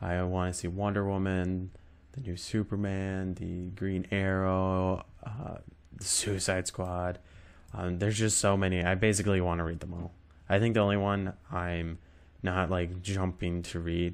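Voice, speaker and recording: Over a silent background in a very clean recording, a man speaks at a moderate pace in a very deep, low pitch with monotone, flat intonation. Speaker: podcast host. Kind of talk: casual monologue. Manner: halting.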